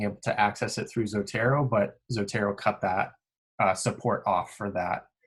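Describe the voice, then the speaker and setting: Against a quiet background, the speech moves at a fairly slow pace with fairly even intonation. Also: man. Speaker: grad school podcast co-host, sleep researcher; grad school podcast co-host. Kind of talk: tutorial. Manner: monotone. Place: home room. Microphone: video call.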